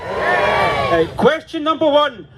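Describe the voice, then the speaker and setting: A man speaks with a Scottish accent. Crowd noise can be heard behind him. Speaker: campaigner speaking at a rally. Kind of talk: political rally speech. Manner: loud, rousing.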